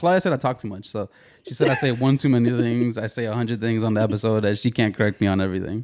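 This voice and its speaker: A man at a medium pitch rattles along at a very fast pace, his intonation lively. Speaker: podcast co-host. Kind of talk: casual chat.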